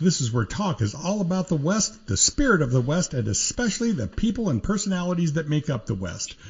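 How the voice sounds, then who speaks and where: Speaking at a fairly quick pace, a man with a fairly high pitch makes very wide pitch swings. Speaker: podcast host. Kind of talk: podcast intro.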